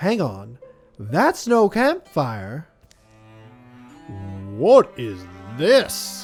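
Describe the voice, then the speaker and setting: A man puts on a character voice, fairly high in pitch and very slow in pace. Faint music plays in the background. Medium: game stream.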